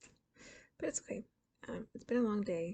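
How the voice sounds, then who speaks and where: Soft-spoken and tired in tone, a woman talks at a medium pitch with a dark, mellow tone, vocal fry and ordinary pitch variation. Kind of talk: soft-spoken ASMR reading of interesting facts with casual commentary. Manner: soft-spoken, tired.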